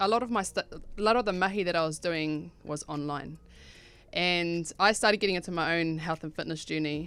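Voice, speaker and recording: Over music in the background, a woman with a New Zealand accent speaks at a moderate pace and fairly low pitch, with ordinary pitch variation and long, frequent pauses. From New Zealand, Rotorua. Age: 30s. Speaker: clothing brand owner. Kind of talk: radio interview.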